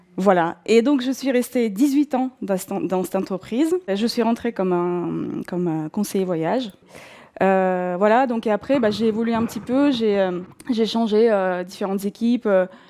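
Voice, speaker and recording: A woman with a Russian accent speaks at a moderate pace in a dark, mellow tone, her fairly high pitch moving with ordinary variation. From southern Russia, North Caucasus. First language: Russian (speaking French). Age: 40s. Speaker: former travel agency manager turned bookseller. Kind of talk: personal testimony. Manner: hesitant, many fillers.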